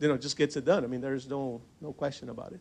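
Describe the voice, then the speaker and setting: A man with a Portuguese accent speaks at a medium pitch with fairly even intonation. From Brazil, São Paulo; moved to US at 15. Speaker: business association member. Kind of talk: panel discussion at event. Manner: hesitant, many repetitions.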